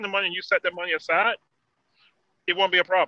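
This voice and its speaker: In a dry, close recording with no echo, a man with an American accent projects a raised, high-pitched voice with a bright, sharp tone and flat, monotone intonation. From Virginia (Emporia). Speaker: truck owner-operator and firefighter. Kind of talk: casual chat.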